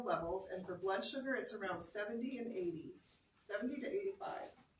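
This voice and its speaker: A woman's medium-pitched voice comes through with audible room echo. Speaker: cooking class presenter. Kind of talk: health talk reading from an article. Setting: live audience. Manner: loud.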